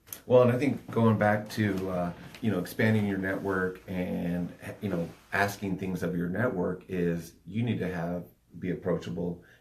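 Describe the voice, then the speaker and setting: A man speaks in a very deep, low voice. His pitch shows ordinary variation. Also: moderate pace. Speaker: podcast co-host, coach. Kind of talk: casual podcast chat. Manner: soft-spoken.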